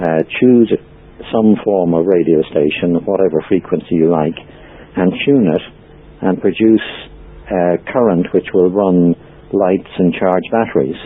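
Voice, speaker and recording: Over noticeable background noise, a man with an Irish accent speaks at a very deep, low pitch and a fairly slow pace, with long, frequent pauses. His loudness stays very even, and his pitch varies in an ordinary way. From Ireland. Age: 60s. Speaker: free energy researcher and author. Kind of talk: interview. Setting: podcast interview. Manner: hesitant, frequent ums.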